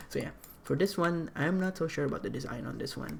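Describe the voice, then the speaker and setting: This man has a non-native accent. His pitch swings very widely. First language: not English. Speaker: artist explaining own animation project. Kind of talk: casual commentary walkthrough. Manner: halting, many fillers.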